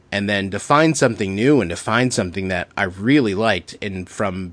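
Against a quiet background, a man with an ordinary speaking voice talks at a moderate pace in a fairly low pitch with ordinary pitch variation. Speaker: podcast host. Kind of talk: casual interview chat.

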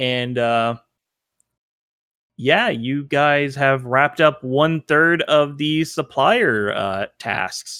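A man speaks at a very slow pace with ordinary pitch variation, his voice fairly high and his tone bright and sharp. The recording is very clean, with a silent background. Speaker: tabletop game master. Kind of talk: tabletop role-play session narration. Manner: hesitant, many filler words.

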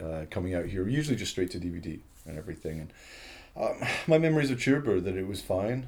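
A man with a very deep, low pitch speaks very fast and somewhat breathily, his pitch swinging very widely. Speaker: podcast co-host, film writer. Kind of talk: casual chat.

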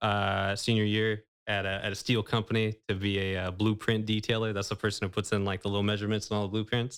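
On a very clean recording with a silent background, a man with an American accent speaks at a very fast pace in a fairly low pitch and a monotone, flat intonation. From California Central Valley (Manteca). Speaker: banker. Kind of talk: casual interview. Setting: studio.

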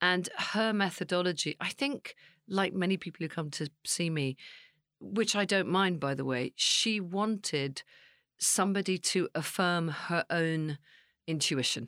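At a fairly slow pace, a woman with a fairly low pitch and ordinary pitch variation speaks in a dry, close sound with no echo. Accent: British. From England. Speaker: psychic medium and actress. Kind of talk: casual chat. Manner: animated.

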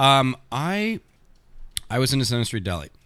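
A man is speaking. He has a Toronto accent. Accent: Canadian (Toronto area). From Canada, Thornhill near Toronto. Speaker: comedian. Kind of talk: casual chat.

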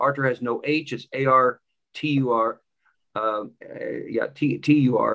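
With a normal speaking voice, a man talks at a fairly high pitch and with fairly even intonation. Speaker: podcast host. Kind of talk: interview and commentary.

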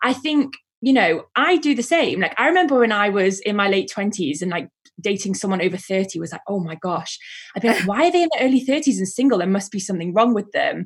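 A woman with a medium pitch sounds somewhat breathy. She moves at a very fast pace with very wide pitch swings. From northern England, Manchester. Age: 30s. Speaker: events director. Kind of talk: casual chat.

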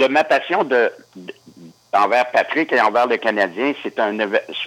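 The voice has a bright, sharp tone and ordinary pitch variation, moving at a very slow pace. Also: man. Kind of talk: interview.

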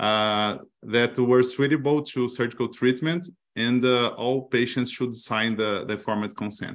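In a Portuguese accent, a man speaks at a medium pitch with fairly even intonation. His pace is fairly slow against a quiet background. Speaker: gynecologic oncologist researcher.

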